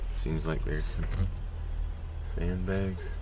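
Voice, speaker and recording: A man's very deep, low voice, dry with no echo, over light background noise. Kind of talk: casual vlog chat. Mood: nervous, uneasy. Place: car. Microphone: phone near.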